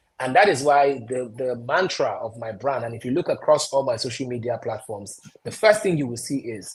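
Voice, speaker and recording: With a Nigerian accent, a man at medium pitch speaks with lively intonation and big swings in loudness. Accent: Nigerian accent, deliberately retained. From Nigeria, Anambra State (Onitsha). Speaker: broadcaster and stand-up comedian. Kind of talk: interview. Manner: animated.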